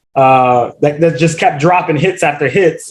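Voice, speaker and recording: Speaking in a normal speaking voice, a man with fairly high pitch keeps a moderate pace and ordinary pitch variation. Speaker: interviewer. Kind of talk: podcast interview questions.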